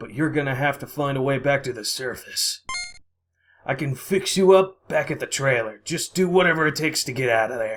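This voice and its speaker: A man puts on a character voice with a fairly high pitch. He moves at a fairly quick pace. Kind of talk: casual let's play commentary.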